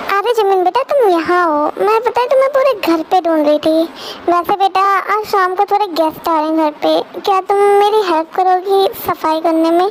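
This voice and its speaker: Over clear background noise, a woman does a put-on character voice at an extremely high pitch and a moderate pace. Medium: read story. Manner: warm, affectionate.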